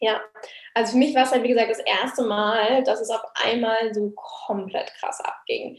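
This is an ordinary speaking voice delivered at a moderate pace. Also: woman, fairly high pitch for a woman, fairly even intonation. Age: 20s. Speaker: online business coach. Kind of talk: casual interview.

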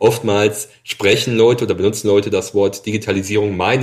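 A man's somewhat breathy, fairly low voice in a very clean recording with a silent background. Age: 40s. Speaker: agricultural machinery product manager. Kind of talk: interview.

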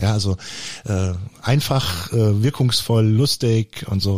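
This is a man with an unremarkable speaking voice. His pitch sits at a medium level, with ordinary pitch variation. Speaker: podcast co-host. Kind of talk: casual chat.

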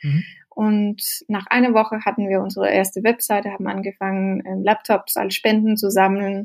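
A woman's medium-pitched voice stays flat and monotone as she talks at a moderate speed. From Denmark, then rural Norway from age 12. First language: Danish (speaking German). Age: 30s. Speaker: social entrepreneur. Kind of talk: interview. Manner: halting, hesitant.

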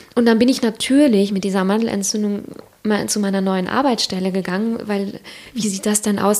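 A woman at a medium pitch and moderate pace. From Siegerland, Germany. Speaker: author and former marketing manager. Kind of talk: casual interview conversation. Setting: kitchen table at home.

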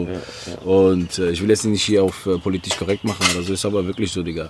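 Through noticeable background noise, a man talks at a very fast pace. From Algeria (Oran), moved to Germany. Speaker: rapper. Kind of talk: casual chat. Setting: garden.

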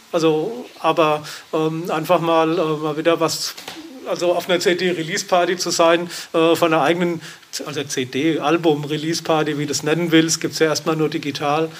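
A man speaks at a high pitch and a moderate pace. Noticeable background noise runs behind him. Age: 50s. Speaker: drummer and electronic musician. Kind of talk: interview. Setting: studio, masked and distanced. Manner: hesitant, many fillers.

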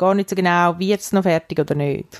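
At a fairly slow pace, a woman with a medium pitch speaks with fairly even intonation in a dry, close sound with no echo. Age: 30s. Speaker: podcast co-host. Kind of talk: casual chat.

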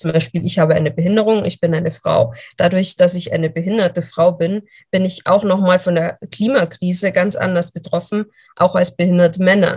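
At a moderate pace, a woman speaks with a fairly low pitch, fairly even intonation and a somewhat breathy quality. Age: 20s. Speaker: journalist and speaker. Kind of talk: podcast interview.

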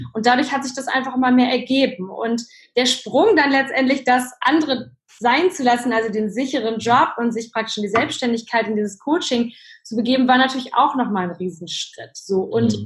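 Moderate pacing and ordinary pitch movement from a woman with a high voice. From Germany, child of Polish parents. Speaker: life coach and speaker. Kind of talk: interview. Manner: many filler sounds.

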